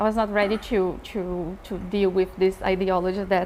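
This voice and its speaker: Noticeable background noise sits behind a woman's voice. Her pitch is medium and her intonation is monotone and flat. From Brazil. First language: Portuguese. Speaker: professor. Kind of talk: panel discussion.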